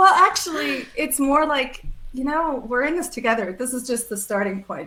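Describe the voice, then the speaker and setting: A woman speaks at a moderate pace in a raised, projected voice, high-pitched with very wide pitch swings. There is noticeable background noise. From Switzerland. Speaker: ethical marketing founder. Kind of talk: interview conversation.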